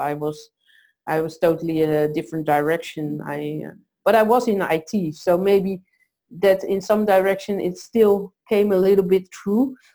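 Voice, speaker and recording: At medium pitch and a moderate pace, a woman speaks with a dark, mellow tone and ordinary pitch variation. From South America. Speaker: founder of a women's networking event. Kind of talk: interview. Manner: halting, many fillers.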